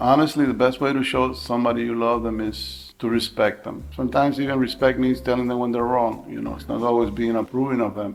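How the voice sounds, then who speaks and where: A man with an American accent and an ordinary speaking voice, medium in pitch, at a fairly quick pace with hardly any pauses and ordinary pitch variation. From Miami, Florida. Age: 60s. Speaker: retiree. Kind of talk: casual conversation.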